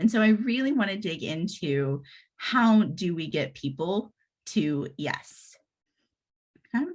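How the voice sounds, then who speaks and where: With an American accent, a woman speaks at a medium pitch and a fairly slow pace. Her pitch swings very widely over a quiet background. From Texas. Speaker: agile coach and speaker. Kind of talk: presentation to a user group. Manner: hesitant, with fillers.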